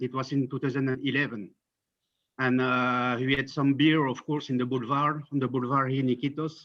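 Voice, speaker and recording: This man talks with a French accent. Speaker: friend of the deceased. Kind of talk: memorial tribute. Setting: video call. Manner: halting. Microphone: bad internet connection.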